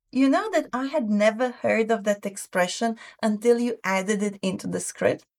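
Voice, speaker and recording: Here a woman with a non-native accent speaks at a moderate pace. Her pitch is fairly high, with ordinary pitch variation. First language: not English. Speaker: language learning podcast host. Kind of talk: educational podcast chat.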